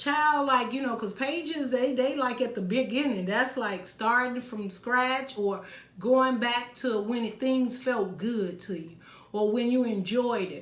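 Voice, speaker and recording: A woman speaks at a fairly slow pace and a high pitch with ordinary pitch variation, and audible room echo surrounds her voice. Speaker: tarot reader. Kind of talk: tarot reading monologue.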